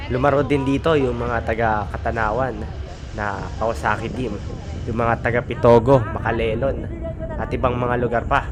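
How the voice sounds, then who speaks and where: Noticeable background noise and audible room echo surround a man speaking at a moderate pace with a medium pitch and ordinary pitch variation. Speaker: cycling vlogger. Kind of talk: live race commentary.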